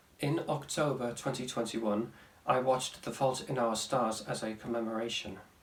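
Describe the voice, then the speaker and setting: Deadpan in tone, a man speaks at a moderate pace and a medium pitch over noticeable background noise. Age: 20s. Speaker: vlogger. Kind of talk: casual talk to camera.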